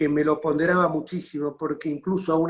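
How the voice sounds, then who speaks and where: A man with a fairly high pitch talks in a monotone, flat way at a moderate pace. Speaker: politician hosting talk series. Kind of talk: interview introduction. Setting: video call.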